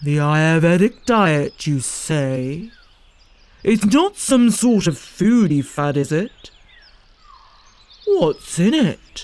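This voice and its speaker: In a put-on character voice at a middle pitch, the speaker moves at a very slow pace with long, frequent pauses. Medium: read story. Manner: proud, indignant.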